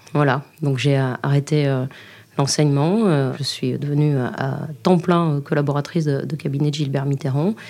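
A dark, mellow tone carries speech whose intonation stays fairly even. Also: woman. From Libourne, Gironde, southwest France. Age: 40s. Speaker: regional councillor and former lecturer. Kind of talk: interview testimony. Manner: halting, with repeated words.

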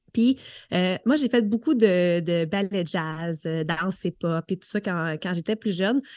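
A woman's medium-pitched voice with lively intonation at a very slow pace, dry and close with no echo, over a quiet background. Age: 30s. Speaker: fitness coach. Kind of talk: casual chat.

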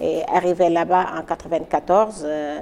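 A woman talks at a fairly low pitch with ordinary pitch variation. Noticeable background noise runs underneath. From Senegal, Dakar. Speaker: hotel entrepreneur. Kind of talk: interview testimony. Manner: halting, repeats words.

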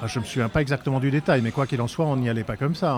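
A man talks with fairly even intonation. Noticeable background noise runs behind him. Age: 50s. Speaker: eyewitness of historical event, filmmaker. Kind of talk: interview testimony. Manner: halting, many hesitations.

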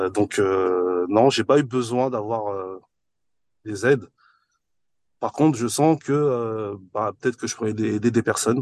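A man of medium pitch speaks very slowly with ordinary pitch variation and long, frequent pauses. The sound is dry and close with no echo, over a quiet background. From France, Paris-area housing estate. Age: 40s. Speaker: entrepreneur and property investor. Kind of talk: podcast interview.

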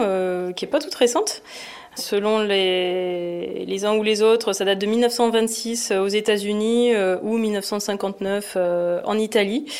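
Noticeable background noise sits behind a woman's voice. Her pitch is fairly high, with ordinary variation. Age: 40s. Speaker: product manager at a sports retailer. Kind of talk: podcast interview.

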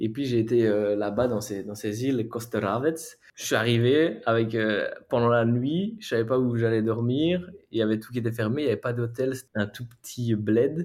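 A man's medium-pitched voice with a Belgian accent, moderate pace, ordinary pitch variation, and a very clean recording over a silent background. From Belgium, Charleroi area. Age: 20s. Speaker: adventure traveler. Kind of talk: interview. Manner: halting.

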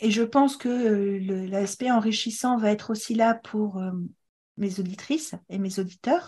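A woman's fairly high, somewhat breathy voice with a dark, mellow tone at a fairly slow pace. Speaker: podcast host, fertility educator and author. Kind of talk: interview. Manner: animated.

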